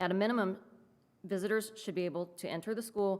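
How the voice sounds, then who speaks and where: Shaky and nervous in tone, a woman rushes along at a very fast pace with a medium pitch and fairly even intonation. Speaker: parent speaking at public comment. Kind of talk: prepared public comment. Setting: school board meeting. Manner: shaky, nervous delivery; halting with self-corrections.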